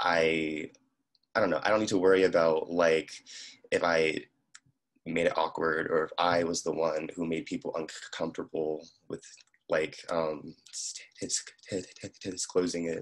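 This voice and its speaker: A man with a very deep, low pitch talks in a monotone, flat way. His pace is moderate, broken by long, frequent pauses. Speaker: panelist who stutters, college student. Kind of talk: panel discussion. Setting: video call. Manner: stuttering; halting, many fillers.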